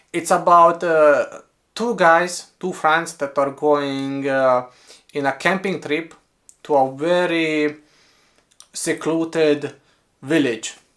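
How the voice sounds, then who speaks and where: Very slow, fairly high-pitched male speech in a Romanian accent, with long, frequent pauses, fairly even intonation, and a very clean recording over a silent background. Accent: Romanian accent, noticeable. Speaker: book reviewer. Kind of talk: casual book review monologue.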